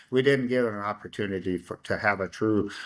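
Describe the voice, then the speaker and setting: A man with a Midwestern American accent and a fairly low pitch at a fairly quick pace, in a very clean recording with a silent background. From Iowa, Council Bluffs. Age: 60s. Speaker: city council member. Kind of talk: interview conversation. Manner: halting.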